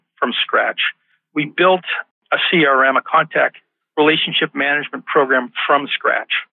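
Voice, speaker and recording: A man with an American accent has an ordinary speaking voice, pitched fairly high and delivered at a moderate pace. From United States. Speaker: executive recruiter and author. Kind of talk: podcast interview.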